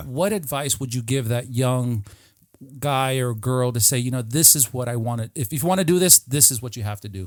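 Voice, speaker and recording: On a very clean recording with a silent background, a man talks at medium pitch and a moderate pace. He has an unremarkable speaking voice with ordinary pitch variation. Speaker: podcast host. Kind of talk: casual podcast talk.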